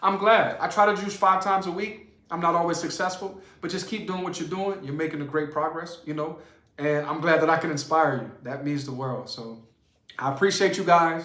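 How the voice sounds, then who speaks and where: Heard with audible room echo, a man in a New Orleans accent talks at a fairly quick pace with an animated tone, a high pitch and ordinary pitch variation. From New Orleans, US South. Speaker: juicing channel host. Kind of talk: live stream Q&A. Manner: fast.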